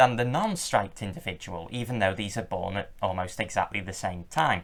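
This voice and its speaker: This is a man with an English accent. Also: very clean recording, silent background. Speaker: reptile keeper and video creator. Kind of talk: tutorial. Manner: loud.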